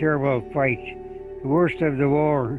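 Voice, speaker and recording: Music plays in the background as a man speaks with an American accent. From Michigan, USA. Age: 80s+. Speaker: war veteran. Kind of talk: interview answer.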